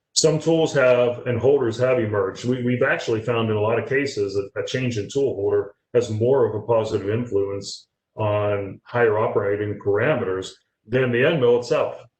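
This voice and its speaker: A man with a somewhat breathy, medium-pitched voice speaks with ordinary pitch variation. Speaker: industrial tooling director presenting webinar. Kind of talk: webinar Q&A. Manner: fast.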